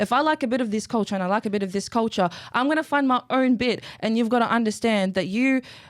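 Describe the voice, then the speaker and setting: With an Australian accent, a woman talks at a very fast pace with hardly any pauses, her fairly high pitch showing ordinary variation and her loudness very even. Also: very clean recording, silent background. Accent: Aussie tone. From Iraqi family, raised in Australia. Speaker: model, poet and activist. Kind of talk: casual chat.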